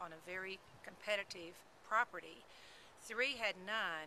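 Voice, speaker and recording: In a Texas accent, a woman speaks at a fairly slow pace. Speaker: real estate agent. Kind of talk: informational talk to camera.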